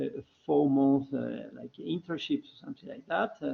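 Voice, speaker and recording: A man is speaking. He has a Spanish accent. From Argentina. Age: 40s. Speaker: development consultant. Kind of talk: alumni talk, online seminar. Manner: halting, many fillers and repetitions.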